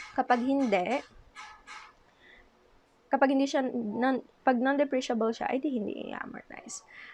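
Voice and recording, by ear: Her pitch sits fairly high, and this woman's voice shows ordinary pitch variation.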